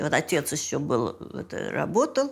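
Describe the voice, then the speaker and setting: There's vocal fry as the woman speaks at a fairly slow pace. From Leningrad. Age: 80s+. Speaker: siege survivor; retired acrobat and coach. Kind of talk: interview answer.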